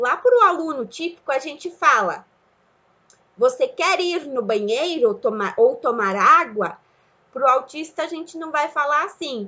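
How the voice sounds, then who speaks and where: A woman speaks in a raised, projected voice at a fairly slow pace, her high pitch making very wide swings while her bright, sharp tone shows big swings in loudness. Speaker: teacher. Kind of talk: lecture. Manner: halting.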